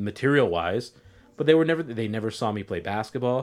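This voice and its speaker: A man with a medium pitch and ordinary pitch variation speaks at a very fast pace. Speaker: podcast co-host. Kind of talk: casual chat.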